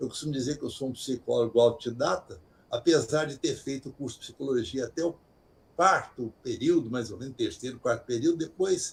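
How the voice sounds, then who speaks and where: Somewhat breathy and medium in pitch, a man speaks at a fairly quick pace with ordinary pitch variation and big swings in loudness. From Brazil, interior of Minas Gerais. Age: 80s+. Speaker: retired doctor and author. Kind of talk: interview. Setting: video call.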